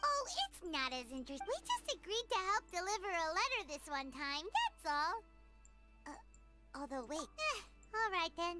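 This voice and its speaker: Clear music plays behind a put-on character voice pitched extremely high, delivered at a moderate pace. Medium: game stream. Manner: chatty, energetic.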